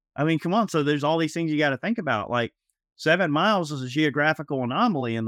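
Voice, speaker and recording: Very fast and with lively intonation, a man talks in a Southern US accent. The sound is dry and close with no echo, on a very clean recording with a silent background. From US South, Georgia (Atlanta area). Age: 30s. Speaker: gun podcast co-host. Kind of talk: casual chat.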